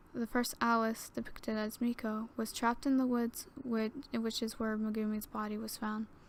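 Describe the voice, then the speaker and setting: Soft-spoken and fairly high in pitch, a woman talks at a moderate pace in a monotone, flat intonation. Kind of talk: creepypasta story reading. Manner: soft ASMR reading.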